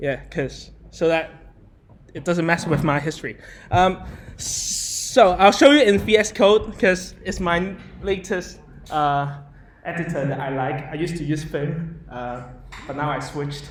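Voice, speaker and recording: A man's fairly high, animated voice with ordinary pitch variation, big swings in loudness, long and frequent pauses, and noticeable background noise. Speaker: software developer giving a meetup talk. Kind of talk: live coding presentation. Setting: meetup talk with live audience. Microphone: speaking without a microphone while typing.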